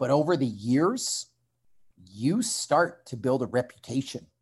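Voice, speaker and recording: In a very clean recording with a silent background, a man with a Canadian accent speaks in a somewhat breathy, fairly high voice whose pitch swings very widely. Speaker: strength coach and former fighter. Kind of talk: interview conversation.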